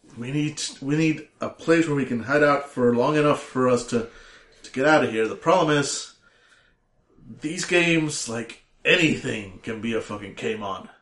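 An unremarkable speaking voice from a man, fairly high in pitch, at a moderate pace with lively intonation and big swings in loudness. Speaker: tabletop game player.

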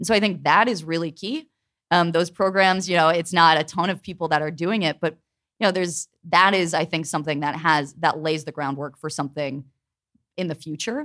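An ordinary speaking voice at a fairly quick pace with ordinary pitch variation, on a very clean recording with a silent background. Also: woman, fairly low pitch for a woman. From Pittsburgh, US. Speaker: labor journalist. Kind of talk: live panel discussion. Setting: stage with audience.

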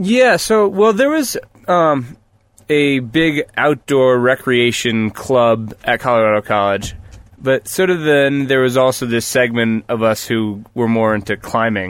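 A man's unremarkable speaking voice, medium in pitch, fairly slow, and very even in loudness. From US Northeast (New Paltz, New York). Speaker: rock climber. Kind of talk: casual chat. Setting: parked vehicle used as mobile studio.

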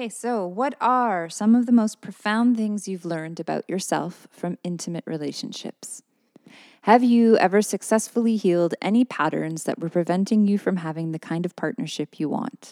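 The woman's voice sits at a medium pitch, with a dark, mellow tone and a dry, close sound that has no echo. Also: ordinary pitch variation, moderate pace, very clean recording, silent background. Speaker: podcast co-host. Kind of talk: casual banter, advice podcast. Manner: joking, playful.

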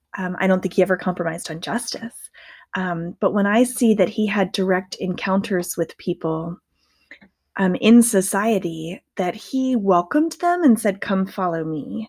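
A somewhat breathy woman's voice at medium pitch, with ordinary pitch variation and a moderate pace. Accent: American. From US South, rural Southern Maryland. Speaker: pastor and author. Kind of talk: interview.

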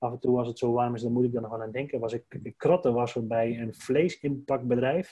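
A man speaks at medium pitch with a dark, mellow tone. His intonation is fairly even and his pace moderate. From Drenthe, Netherlands (Dwingeloo). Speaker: entrepreneur, brand strategist. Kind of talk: casual interview. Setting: indoor podcast recording.

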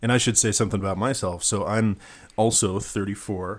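A man talks in a normal speaking voice with a fairly low pitch and fairly even intonation. His pace is moderate, and the recording is very clean with a silent background. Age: 30s. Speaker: podcast host. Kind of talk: political panel discussion.

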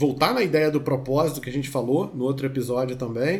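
This man's fairly high voice comes across as somewhat breathy. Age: 40s. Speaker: therapist. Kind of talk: casual chat.

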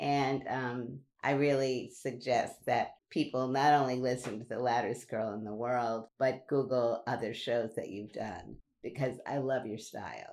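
A woman talks with a very deep, low pitch and a New York accent. Her intonation stays monotone and flat. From Brooklyn, New York. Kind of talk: casual interview chat.

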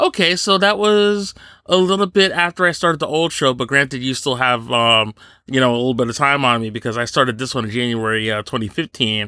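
The voice moves at a fairly quick pace with very wide pitch swings and a bright, sharp tone. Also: man, medium pitch for a man. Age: 30s. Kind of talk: casual chat. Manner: animated.

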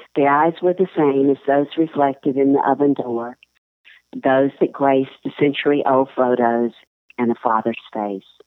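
A woman with an American accent speaks at a moderate pace in a very deep, low voice, her pitch varying an ordinary amount. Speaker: columnist and writer. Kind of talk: interview with story reading.

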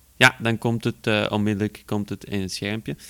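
A man at a fairly low pitch and a moderate pace, with a clear, smooth, fairly bright tone and little pitch movement

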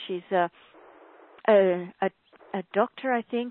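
This woman speaks with an Australian accent. She goes at a fairly slow pace with ordinary pitch variation. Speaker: spiritual author. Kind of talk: webcast interview. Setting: call.

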